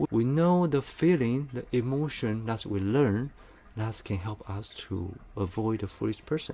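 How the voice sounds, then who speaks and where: Using a plain, everyday voice, a man speaks at a fairly slow pace with a medium pitch and lively intonation. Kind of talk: motivational monologue to camera. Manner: conversational, earnest.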